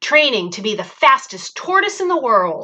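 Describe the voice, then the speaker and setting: A woman does a put-on character voice, high in pitch. It moves at a moderate pace with very wide pitch swings. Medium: read story.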